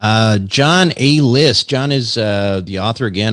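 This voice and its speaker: In a very clean recording with a silent background, a man with an American accent and an ordinary speaking voice talks at a fairly slow pace, his fairly low pitch showing ordinary variation. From US Midwest, Minnesota. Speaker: podcast host. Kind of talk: interview; show outro announcement.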